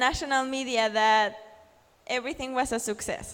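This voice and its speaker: A woman speaks in a high voice with a Spanish accent, recorded very cleanly against a silent background. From Mexico. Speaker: journalist and blogger. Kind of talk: conference talk. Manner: hesitant with fillers and restarts.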